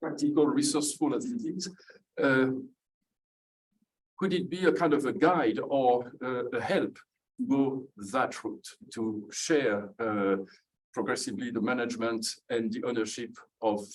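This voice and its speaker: A man with a French accent talks at a moderate pace with lively intonation, leaving long, frequent pauses. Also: fairly high pitch for a man. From France. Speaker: audience member asking a question. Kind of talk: audience question at a book launch. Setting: event with live audience.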